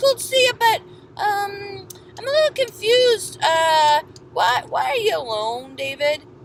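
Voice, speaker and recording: Over clear background noise, a woman does a put-on character voice at an extremely high pitch and moderate pace. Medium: read story. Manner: hesitant, stammering.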